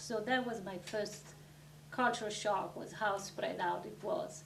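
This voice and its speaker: With an Italian accent, a woman speaks at a medium pitch with lively intonation amid audible room echo. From Italy. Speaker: interviewee, immigrant mathematician. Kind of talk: interview. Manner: hesitant with fillers.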